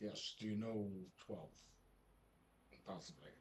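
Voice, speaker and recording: A man's put-on character voice, fairly low in pitch, at a moderate pace. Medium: actual play. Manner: casual, chatty.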